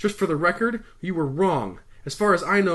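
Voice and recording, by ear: Reading aloud in a natural voice, with pitch that varies in an ordinary way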